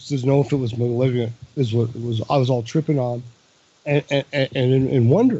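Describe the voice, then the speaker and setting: The speaker is a man with a medium-pitched voice. It sounds somewhat breathy. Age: 60s. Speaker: caller to a talk radio show. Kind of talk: casual chat. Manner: halting.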